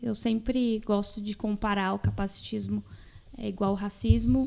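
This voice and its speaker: A woman's somewhat breathy voice with a dark, mellow tone, at a moderate pace. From Brazil, Mato Grosso do Sul (Jardim). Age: 20s. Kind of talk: podcast interview.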